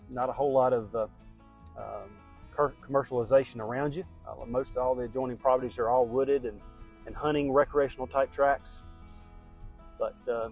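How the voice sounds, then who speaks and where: With music in the background, someone talks at a fairly quick pace with fairly even intonation in an American accent. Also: man. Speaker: real estate agent and auctioneer. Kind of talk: property tour video pitch, casual talk to camera.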